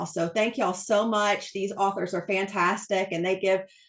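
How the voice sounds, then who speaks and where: A woman speaks in an East Texas accent. Her pace is fairly slow and her pitch medium. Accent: thick East Texas. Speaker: book channel host, interviewer. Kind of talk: casual interview host talk.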